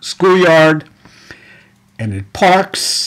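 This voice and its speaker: A man in a New York accent, his pitch swinging very widely. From New York City (Brooklyn). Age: 70s. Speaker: educator. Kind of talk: personal testimony. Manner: halting.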